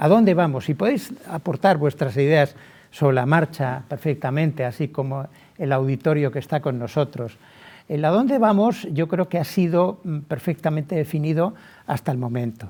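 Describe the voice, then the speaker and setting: A man talks at a moderate pace in a fairly high voice. His delivery is somewhat breathy. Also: ordinary pitch variation. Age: 60s. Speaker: lawyer. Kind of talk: webinar talk.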